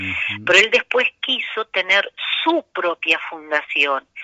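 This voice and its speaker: A woman speaks in a normal speaking voice. Her pitch is fairly low and her pace fairly slow. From Argentina. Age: 50s. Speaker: cardiologist. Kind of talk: radio interview. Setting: phone call.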